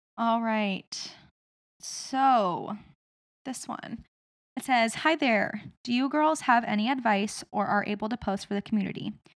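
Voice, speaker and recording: An ordinary speaking voice from a woman, fairly high in pitch, with ordinary pitch variation at a fairly slow pace. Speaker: podcast host. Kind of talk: casual chat.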